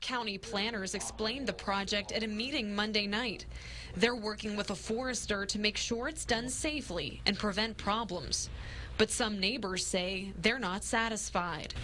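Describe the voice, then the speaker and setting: This is a plain, everyday voice, moving at a moderate pace with fairly even intonation. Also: woman, medium pitch for a woman. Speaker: TV news reporter. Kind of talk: TV news package narration.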